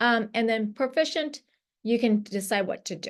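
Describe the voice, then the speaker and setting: Fairly high in pitch, a woman speaks with ordinary pitch variation against a quiet background. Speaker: radiation oncology lecturer. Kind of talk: lecture. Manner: fast.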